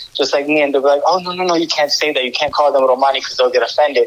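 A man's voice shows ordinary pitch variation while noticeable background noise carries on. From Orlando, Florida (early years Romania). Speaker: podcast guest. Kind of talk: casual interview.

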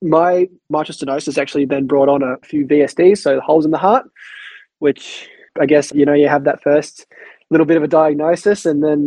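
A man with an Australian accent, fairly high-pitched, at a fairly quick pace and with fairly even intonation. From Tasmania, Australia (Queenstown). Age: 20s. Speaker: heart patient and youth mentor. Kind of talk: interview.

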